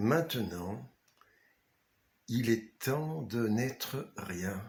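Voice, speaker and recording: A man talks in a calm tone at a very slow pace. His pitch is medium, with ordinary variation. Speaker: author. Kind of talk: guided meditation. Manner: slow, calm.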